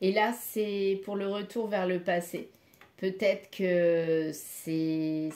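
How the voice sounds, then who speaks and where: With a dark, mellow tone, a woman speaks at medium pitch with fairly even intonation. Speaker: tarot card reader. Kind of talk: card reading guidance. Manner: halting.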